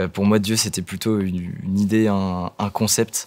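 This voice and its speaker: This man speaks at a fairly low pitch with a monotone, flat intonation. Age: 20s. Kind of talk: testimony. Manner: halting, many hesitations and repetitions.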